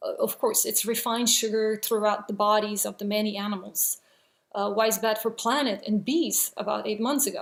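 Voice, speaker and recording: With a non-native accent, a woman talks at a fairly quick pace in a fairly high voice and fairly even intonation, on a very clean recording with a silent background. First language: not English. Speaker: vegan video blogger. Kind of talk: response video monologue. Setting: at home, child sleeping nearby. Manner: hesitant, many fillers.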